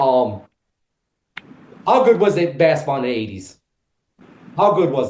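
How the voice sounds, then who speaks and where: Somewhat breathy and fairly high in pitch, a man speaks at a moderate pace with very wide pitch swings, big swings in loudness and audible room echo. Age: 40s. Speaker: podcast host. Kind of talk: interview. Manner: hesitant with many fillers.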